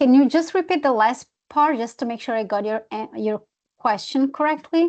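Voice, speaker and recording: Over a quiet background, a woman with a non-native accent talks at a high pitch with lively intonation. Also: moderate pace. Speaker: presenter, wildlife management expert. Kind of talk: webinar Q&A answer.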